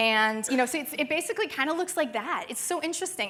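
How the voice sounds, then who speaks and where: With a bright, sharp tone and lively intonation, a woman talks at a fairly quick pace in an animated way. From Canada. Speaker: conference speaker. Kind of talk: conference talk. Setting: stage with audience.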